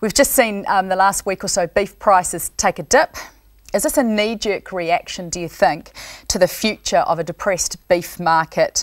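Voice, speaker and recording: A woman speaks with a New Zealand accent against a quiet background. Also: ordinary pitch variation, moderate pace. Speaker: rural current affairs TV presenter. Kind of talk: TV panel discussion hosting. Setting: TV studio. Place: studio. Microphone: lapel.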